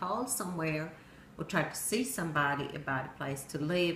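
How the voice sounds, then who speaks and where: A woman's very deep, low voice in a Swedish accent, with ordinary pitch variation, audible room echo and noticeable background noise. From Sweden. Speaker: storyteller. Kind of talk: personal narrative speech.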